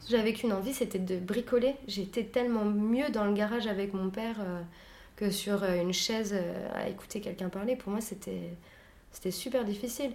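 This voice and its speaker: A woman's mid-pitched voice with fairly even intonation and audible room echo. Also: moderate pace. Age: 20s. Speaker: leatherworker and saddler, workshop co-founder. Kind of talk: interview.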